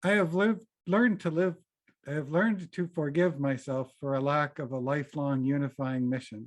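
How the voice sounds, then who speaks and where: In an American accent, a plain, everyday voice moves at a moderate pace with ordinary pitch variation over a quiet background. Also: man. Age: 50s. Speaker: lay worship associate. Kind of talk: personal reflection in a church service.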